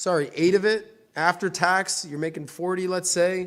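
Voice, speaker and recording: A man speaks loudly at a fairly slow pace, his voice pitched high. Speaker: finance show host. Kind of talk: casual money advice interview.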